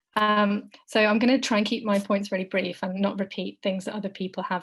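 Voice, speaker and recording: Speaking at a fairly quick pace, a woman has a somewhat breathy, medium-pitched voice. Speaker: law lecturer. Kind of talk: webinar talk.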